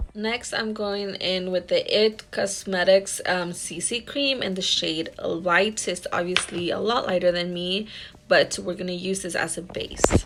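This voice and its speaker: A woman's fairly slow, nearly pause-free speech with fairly even intonation, over noticeable background noise. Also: medium pitch for a woman. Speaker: makeup artist vlogger. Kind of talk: makeup tutorial voiceover. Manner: quiet, low volume.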